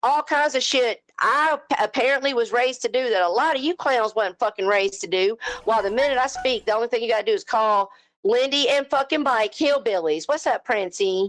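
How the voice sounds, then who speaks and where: A high-pitched woman with a Southern US accent, animated and lively in intonation, at a moderate pace. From US South. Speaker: live stream host. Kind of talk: heated rant on live panel.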